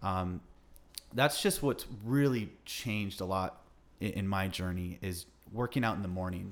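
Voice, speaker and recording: A man talks at a moderate pace with ordinary pitch variation in a plain, everyday voice. The recording is very clean, with a silent background. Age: 30s. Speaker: podcast host. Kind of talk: interview conversation. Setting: guest's home.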